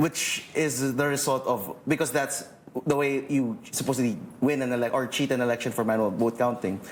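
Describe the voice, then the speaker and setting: The delivery is fairly even in intonation and very even in loudness at a moderate pace, with noticeable background noise behind it. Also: man, medium pitch for a man. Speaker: lawyer, election watchdog official. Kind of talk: panel discussion. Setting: TV studio.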